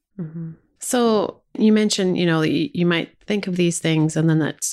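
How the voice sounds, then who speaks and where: A woman's fairly low voice, an ordinary speaking voice, with lively intonation at a fairly quick pace. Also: very clean recording, silent background. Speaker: investment podcast co-host. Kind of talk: podcast interview.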